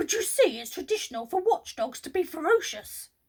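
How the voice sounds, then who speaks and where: In a put-on character voice, a woman speaks gruffly at an extremely high pitch, her pitch swinging very widely and her loudness rising and falling sharply at a fairly quick pace. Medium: read story. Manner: gruff, impatient.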